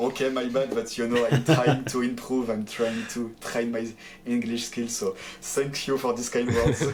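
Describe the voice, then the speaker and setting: A man with a French accent and a medium pitch speaks at a moderate pace in a monotone, flat way, with noticeable background noise. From France. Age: 20s. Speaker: pro esports player. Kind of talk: interview. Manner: halting, many fillers.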